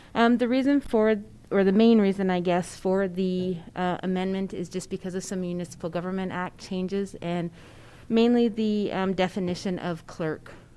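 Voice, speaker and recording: Soft-spoken and medium in pitch, a woman talks with a dark, mellow tone and fairly even intonation. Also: moderate pace. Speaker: county staff member. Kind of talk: council meeting presentation.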